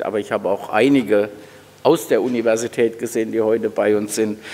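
In a dark, mellow tone, this man keeps to a moderate pace. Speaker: university president. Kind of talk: welcome speech at an event. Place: hall. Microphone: podium.

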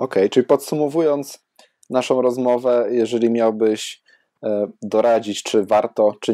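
A man talks at a moderate pace with fairly even intonation. The recording is dry and close, with no echo. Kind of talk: casual interview.

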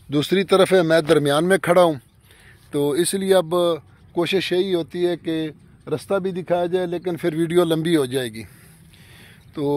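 Here a man with a high pitch talks at a fairly quick pace. His intonation is fairly even, and the sound is dry with no echo. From Haroonabad, Bahawalnagar, Pakistani Punjab; Punjab, Pakistan. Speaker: real estate vlogger. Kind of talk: vlog sales pitch for farmland. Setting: outdoors in a field. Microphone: phone near.

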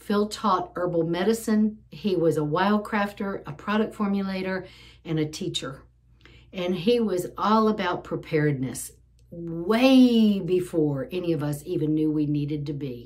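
Fairly slow pace, ordinary pitch variation and a quiet background. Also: woman, fairly low pitch for a woman. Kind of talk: casual vlog chat. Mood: earnest, emotional. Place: home room. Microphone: phone near.

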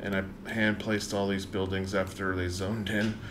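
Over noticeable background noise, a man with an American accent and a fairly low pitch speaks at a moderate pace in a monotone, flat intonation. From US South, South Carolina. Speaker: gaming streamer. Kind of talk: live stream gameplay commentary. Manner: casual, thinking aloud. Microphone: studio mic.

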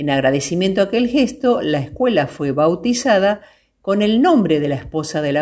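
A woman speaks at a fairly slow pace and medium pitch, her pitch swinging very widely. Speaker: voice-over narrator. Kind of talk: documentary travel narration.

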